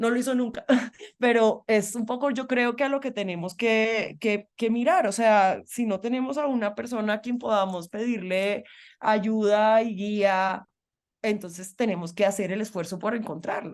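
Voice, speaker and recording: A woman with a Colombian accent talks at a fairly slow pace in a fairly high pitch, with ordinary pitch variation and a quiet background. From Colombian Caribbean, Barranquilla. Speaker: feminist journalist and activist. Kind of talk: interview conversation.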